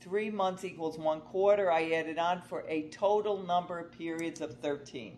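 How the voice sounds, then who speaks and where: An ordinary speaking voice proceeds at a moderate pace with ordinary pitch variation and hardly any pauses. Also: woman, fairly low pitch for a woman. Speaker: college math instructor. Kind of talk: tutorial.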